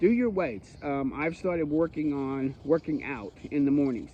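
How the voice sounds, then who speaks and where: At a moderate pace, a man speaks in an ordinary speaking voice, fairly high in pitch and with ordinary pitch variation. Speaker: bible teacher. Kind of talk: bible study teaching.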